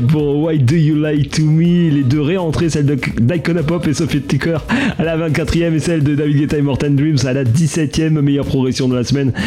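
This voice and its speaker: Over music in the background, a man with a fairly high pitch speaks at a moderate pace in an animated, upbeat tone with ordinary pitch variation. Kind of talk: radio dj patter. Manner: animated, upbeat, teasing the next chart entries between tracks.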